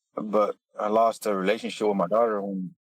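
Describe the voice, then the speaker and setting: In a Texan accent, a man speaks at a fairly quick pace with a fairly low pitch and fairly even intonation. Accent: Texan American. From West Texas. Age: 40s. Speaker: oil field worker and father. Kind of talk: casual interview. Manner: halting.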